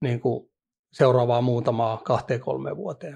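A man's somewhat breathy voice at medium pitch, with a dark, mellow tone, over a quiet background. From Finland, Vantaa (Hakunila). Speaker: professional poker player. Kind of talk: interview. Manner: halting, many fillers.

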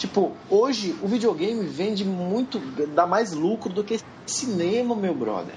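A man with a high pitch talks at a fairly slow pace against noticeable background noise. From Brazil, Ceará. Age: 20s. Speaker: podcast host. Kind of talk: casual chat.

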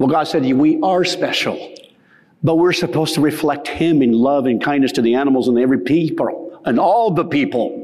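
Fairly quick speech with ordinary pitch variation and very even loudness over noticeable background noise. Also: man, fairly high pitch for a man. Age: 60s. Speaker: soil health educator. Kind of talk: conference keynote talk. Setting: stage with audience. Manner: animated.

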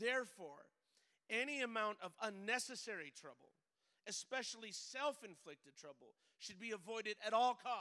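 A man speaks in a raised, projected voice, high-pitched, bright and sharp, at a moderate pace. His tone is animated, with lively intonation and big swings in loudness. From Mexican heritage. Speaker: pastor. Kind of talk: sermon. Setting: church.

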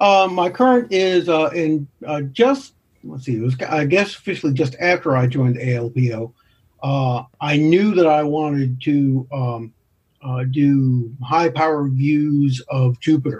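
A man's somewhat breathy, fairly high-pitched voice at a fairly slow pace. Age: 60s. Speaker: amateur astronomer and music educator. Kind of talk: interview.

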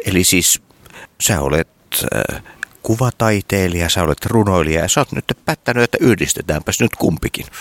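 A man speaks with a very deep, low pitch and lively intonation at a moderate pace. His loudness stays very even, and the sound is dry and close with no echo. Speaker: interviewer. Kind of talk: casual interview.

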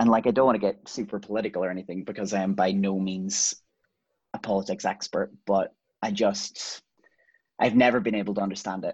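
A man with a Donegal accent, fairly low in pitch and fairly quick in pace, with monotone, flat intonation against a quiet background. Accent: Donegal Irish. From Ireland, County Donegal. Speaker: singer-songwriter. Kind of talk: casual chat.

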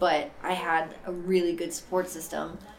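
A woman speaks at a moderate pace in a fairly low voice. There is audible room echo and noticeable background noise. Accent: American. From Boston, Massachusetts. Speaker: person in addiction recovery. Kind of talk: personal testimony. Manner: casual, many fillers.

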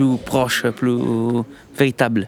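A man speaks at a fairly slow pace with an Italian accent. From southern Italy, Sardinia. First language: Italian (speaking French). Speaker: chef. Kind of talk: interview. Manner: halting.

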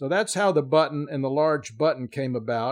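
A man with an American accent and a normal speaking voice, fairly high in pitch, at a moderate pace, on a very clean recording with a silent background. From Miami, Florida. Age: 60s. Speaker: knife maker. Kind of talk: casual interview chat.

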